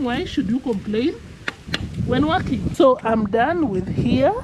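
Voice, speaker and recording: A woman speaks at a fairly high pitch. Noticeable background noise runs underneath. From Kenya. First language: Kenyan ethnic language. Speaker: village vlogger. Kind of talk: casual vlog narration. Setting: outdoors on a farm. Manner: casual, conversational.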